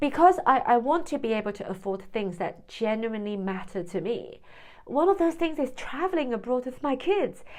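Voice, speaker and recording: Her pitch is high and swings very widely as a woman speaks at a moderate pace. The recording is very clean, with a silent background. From Hong Kong, then UK from 17. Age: 40s. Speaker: vlogger, former freelance translator. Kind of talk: personal vlog monologue. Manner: hesitant, with repeated words.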